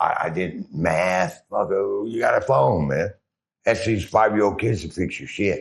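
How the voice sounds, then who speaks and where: A man with an American accent speaks in a plain, everyday voice at a fairly low pitch. He talks at a fairly slow pace with lively intonation. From Oklahoma, US. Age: 60s. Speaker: person with drug addiction. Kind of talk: interview testimony.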